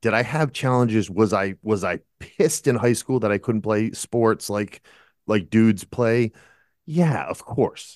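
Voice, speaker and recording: In a normal speaking voice with an American accent, a man talks at a fairly slow pace and medium pitch with ordinary pitch variation, the sound dry and close with no echo over a quiet background. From Massachusetts, US. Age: 50s. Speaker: at-home dad, author and musician. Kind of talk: interview.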